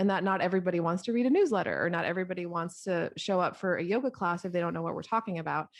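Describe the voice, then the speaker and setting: Over a quiet background, a woman speaks at medium pitch with ordinary pitch variation. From US, Colombian family. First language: Spanish. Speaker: podcast host and music marketing coach. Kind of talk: casual interview chat.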